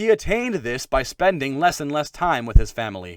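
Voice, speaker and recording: The recording is very clean with a silent background, and the sound is dry and close with no echo. A man speaks with very wide pitch swings. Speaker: audiobook narrator. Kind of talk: dramatic audiobook narration.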